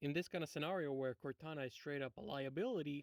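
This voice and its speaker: A man with a non-native accent, fairly high pitch and ordinary pitch variation, at a fairly quick pace in a dry, close sound with no echo. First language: not English. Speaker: video essayist, game critic. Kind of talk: video essay commentary. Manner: casual, hesitant with fillers.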